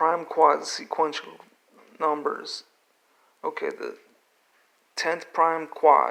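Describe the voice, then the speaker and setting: Speaking at a very slow pace, a man leaves long, frequent pauses, and his loudness swings widely. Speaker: independent researcher presenting own theories. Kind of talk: tutorial.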